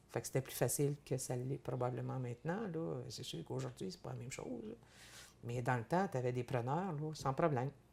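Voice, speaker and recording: A woman speaks at a fairly quick pace in a very deep, low voice with a dark, mellow tone, vocal fry, big swings in loudness and ordinary pitch variation. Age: 60s. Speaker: farmer and businesswoman. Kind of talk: interview. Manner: halting, many repetitions.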